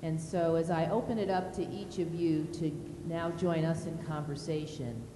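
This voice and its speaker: With audible room echo, a woman speaks at a fairly low pitch with fairly even intonation. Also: moderate pace. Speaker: college dean and panel facilitator. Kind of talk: moderated panel discussion. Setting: art gallery with audience. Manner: loud.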